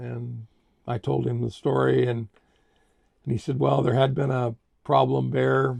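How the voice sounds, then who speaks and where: This man has a fairly low voice. His pitch swings very widely. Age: 70s. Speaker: grandfather telling family stories. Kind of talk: storytelling. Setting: inside a trailer. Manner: halting, with many fillers.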